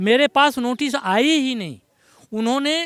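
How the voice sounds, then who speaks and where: Lively intonation from a man, recorded with a dry, close sound and no echo. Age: 70s. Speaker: retired resident facing eviction. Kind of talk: street interview.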